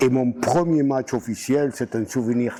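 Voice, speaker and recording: His tone is dark and mellow. The man talks at a fairly slow pace. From southwest France, Gers (Mirande). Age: 80s+. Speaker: retired rugby coach. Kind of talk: interview, life story. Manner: halting, many hesitations.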